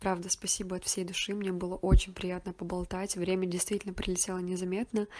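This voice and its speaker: A woman's medium-pitched voice, very fast and flat in a monotone. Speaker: writer and surrealist photographer. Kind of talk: interview.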